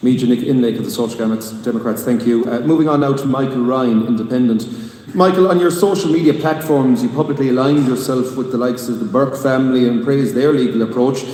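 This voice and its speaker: A very fast Irish-accented man at medium pitch, with ordinary pitch variation, noticeable background noise and audible room echo. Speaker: debate moderator. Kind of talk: political debate moderation. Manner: interrupting, pressing.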